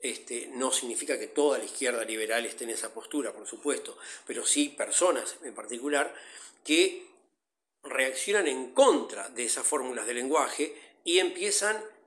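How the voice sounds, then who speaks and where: This man talks at a moderate pace, his loudness swinging widely from moment to moment. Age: 60s. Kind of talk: interview.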